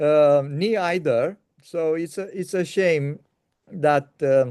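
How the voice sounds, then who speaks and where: In a Romanian accent, a man speaks very slowly with a fairly high pitch and ordinary pitch variation. His tone is dark and mellow. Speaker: interviewer. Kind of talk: casual chat. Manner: halting.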